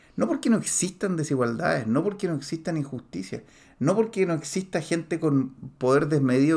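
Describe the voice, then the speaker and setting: Speaking with an animated tone and lively intonation, a man with a fairly high pitch is heard on a very clean recording with a silent background. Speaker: podcast host, personal development coach. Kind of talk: motivational monologue. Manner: halting, many fillers.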